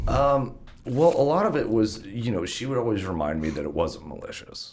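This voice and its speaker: Male speech in audible room echo, its pitch swinging very widely. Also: medium pitch for a man, moderate pace. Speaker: business owner. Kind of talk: interview. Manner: halting.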